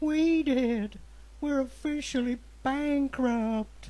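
A woman speaks at a very slow pace. Her pitch is high. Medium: comedy sketch. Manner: worried, grim.

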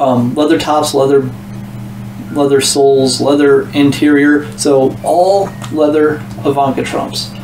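Over background music, a man speaks at a fairly slow pace in a room with audible echo. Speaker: thrift reseller. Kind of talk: casual haul vlog chat. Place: home room.

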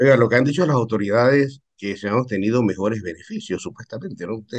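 A man's very fast, lively-toned speech over a quiet background. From Panama. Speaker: journalist, interviewer. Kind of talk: news interview, questions. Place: home room. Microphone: video call.

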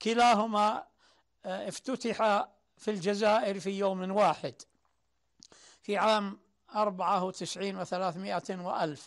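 Against a quiet background, the speaker talks with fairly even intonation and long, frequent pauses. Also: man. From Saudi Arabia, Najd (Sudair); Najd, Saudi Arabia. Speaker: poet and writer; poet. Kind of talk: interview testimony. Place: home room.

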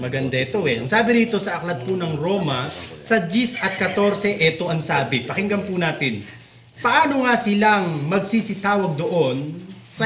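At a moderate pace, a high-pitched man speaks with lively intonation, with audible room echo and noticeable background noise. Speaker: religious talk show host. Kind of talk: religious discussion.

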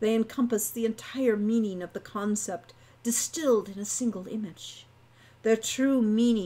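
The reading aloud is done in a natural voice. Its intonation is fairly even.

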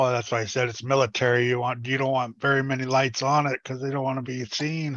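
Against a quiet background, a man rushes along at a very fast pace in a monotone, flat intonation, with hardly any pauses. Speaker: panel regular on live RC hobby stream; live show host. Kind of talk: casual chat. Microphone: headset.

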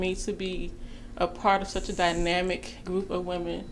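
This is a woman with a normal speaking voice. Her medium pitch shows ordinary pitch variation. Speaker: self-employed entrepreneur. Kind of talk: casual interview.

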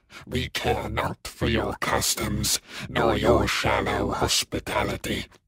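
At a very slow pace, a raspy, put-on character voice speaks. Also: man. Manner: archaic, haughty, contemptuous.

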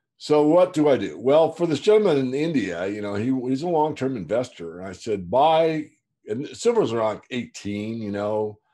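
A man's dark, mellow voice at a moderate pace, with very wide pitch swings, over a quiet background. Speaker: market newsletter publisher. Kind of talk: interview answer. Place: home room. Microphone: video call.

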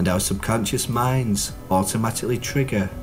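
With music in the background, a man talks at medium pitch and a moderate pace with ordinary pitch variation. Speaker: clinical hypnotherapist. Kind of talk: hypnotherapy promotional talk.

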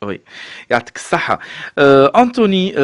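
A man speaks in a Tunisian accent with lively intonation. His pace is fairly slow. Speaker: radio host. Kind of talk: radio interview.

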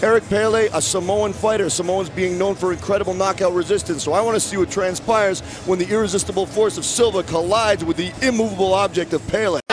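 Over music in the background, a man talks at a very fast pace with hardly any pauses, his high-pitched voice keeping a fairly even intonation in a dry sound with no echo. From Vancouver, Canada. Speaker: MMA commentator. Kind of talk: MMA play-by-play and colour commentary. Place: stadium. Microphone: headset.

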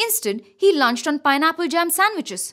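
Her tone is fairly bright and her intonation lively. The woman keeps a moderate pace.

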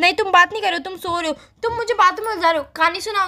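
The speech comes at a fast pace in a bright, sharp tone. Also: woman.

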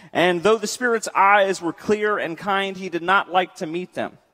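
Against a quiet background, a man speaks at a moderate pace in a raised, projected voice with a bright, sharp tone. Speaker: preacher. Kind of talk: sermon. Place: church.

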